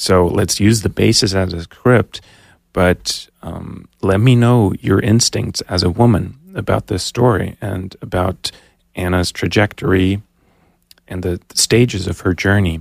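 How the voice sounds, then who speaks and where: A man with an American accent and a plain, everyday voice speaks at a fairly slow pace with fairly low pitch and fairly even intonation, recorded with a dry, close sound and no echo. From Germany and New Jersey. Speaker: filmmaker. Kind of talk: interview. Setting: studio.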